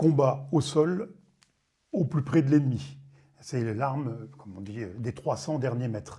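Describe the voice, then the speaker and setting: A man with a medium pitch and a dark, mellow tone speaks at a fairly slow pace, with vocal fry and ordinary pitch variation. His speech has long, frequent pauses. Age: 60s. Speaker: retired army general. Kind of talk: testimony. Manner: hesitant, many fillers.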